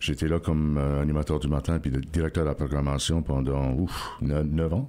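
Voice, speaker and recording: A man's very deep, low voice, monotone and flat, with very even loudness over noticeable background noise. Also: moderate pace. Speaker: radio host. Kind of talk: interview. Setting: radio studio.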